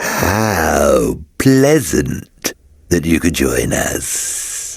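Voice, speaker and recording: Putting on a character voice, a man speaks very slowly in a very deep, low pitch, his pitch swinging very widely. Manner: mock-polite, sinister.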